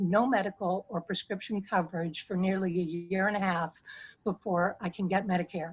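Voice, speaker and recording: With a plain, everyday voice, a woman speaks at a medium pitch and with fairly even intonation. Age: 60s. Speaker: constituent sharing health story. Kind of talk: testimony. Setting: video call.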